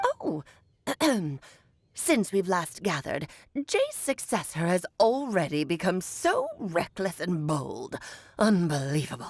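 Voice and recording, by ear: A woman's put-on character voice at a medium pitch, fairly slow with long, frequent pauses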